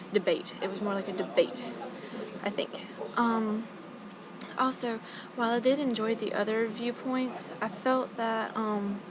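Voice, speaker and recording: Quiet and mumbling, a woman with an American accent speaks at a fairly slow pace in a fairly high pitch with fairly even intonation, leaving long, frequent pauses over noticeable background noise. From US South. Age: young. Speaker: college student. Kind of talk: video blog. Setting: library. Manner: quiet, mumbling; hesitant, many fillers.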